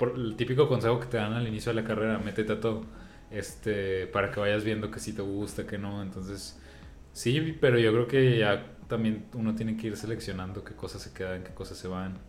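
Fairly quick speech from a man with a Mexican accent, fairly even intonation and big swings in loudness, plus audible room echo. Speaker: podcast co-host. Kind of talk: casual chat.

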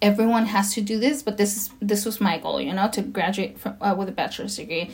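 At a moderate pace, a woman speaks at a medium pitch over noticeable background noise. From Los Angeles, US. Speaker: podcast guest, DACA recipient. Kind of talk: casual interview.

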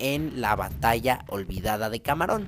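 A man talks at a medium pitch, his intonation lively. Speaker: podcast host. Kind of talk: storytelling. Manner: animated.

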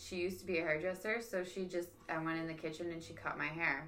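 A woman's fairly low-pitched voice at a moderate pace, fairly even in intonation, amid audible room echo and noticeable background noise. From Niagara, Ontario, Canada. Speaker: podcast host. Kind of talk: casual chat.

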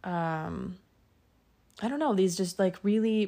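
On a very clean recording with a silent background, a woman speaks with a western Canadian accent and fairly even intonation. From Alberta, Canada. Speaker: podcast host. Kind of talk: casual monologue. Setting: at home in bed. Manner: casual, giggly.

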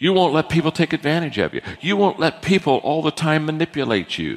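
Vocal fry runs through a man's fairly high-pitched voice. He speaks at a fairly quick pace. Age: 60s. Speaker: leadership speaker. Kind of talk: lecture.

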